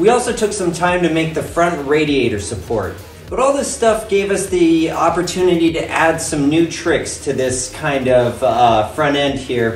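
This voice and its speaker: Faint music plays behind a man speaking at a moderate pace, with audible room echo. He leaves hardly any pauses. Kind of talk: casual build vlog explanation. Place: garage. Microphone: phone near.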